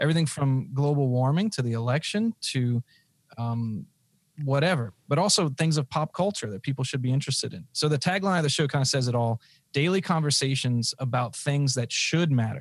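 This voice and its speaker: A man talks at a fairly quick pace in a fairly high, somewhat breathy voice with ordinary pitch variation. The sound is dry and close, with no echo. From Louisiana (Lafayette). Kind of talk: interview.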